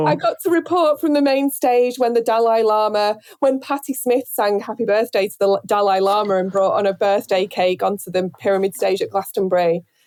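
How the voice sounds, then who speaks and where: With a northern English accent, a woman talks at a fairly quick pace with hardly any pauses, her fairly high voice full of lively intonation and captured dry and close with no echo. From Northern England. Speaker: radio presenter. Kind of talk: interview answer. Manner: hesitant, casual.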